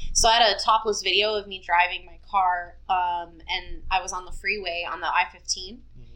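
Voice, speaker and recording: A woman uses a normal speaking voice at a moderate pace with hardly any pauses, fairly even intonation and big swings in loudness. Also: medium pitch for a woman. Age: 30s. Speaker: webcam model. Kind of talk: casual chat.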